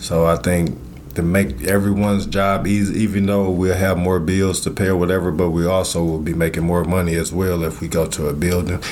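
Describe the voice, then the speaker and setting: Against noticeable background noise, a man with a very deep, low voice talks at a fairly quick pace. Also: fairly even intonation. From Illinois, born in Mississippi. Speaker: food truck owner. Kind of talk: casual interview.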